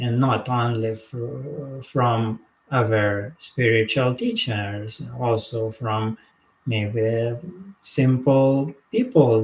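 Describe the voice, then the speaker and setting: The man's voice is somewhat breathy. He talks very slowly. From Lithuania. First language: Lithuanian. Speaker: spiritual teacher. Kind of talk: live monologue. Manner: halting.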